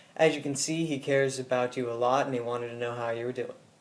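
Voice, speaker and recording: Over noticeable background noise, a man at medium pitch speaks very fast with fairly even intonation. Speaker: vlogger. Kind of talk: casual video message. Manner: usually quiet-spoken.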